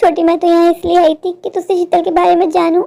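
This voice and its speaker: In a cartoonish character voice, a woman speaks at an extremely high pitch and a very fast pace. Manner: emotional, earnest.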